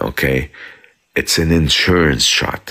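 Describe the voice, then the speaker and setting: Very deep, low pitch in a man's voice, with ordinary pitch variation. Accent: Arabic. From South Lebanon. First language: Arabic. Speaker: commentator in a live chat. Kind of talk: casual live chat. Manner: halting, many repetitions; animated.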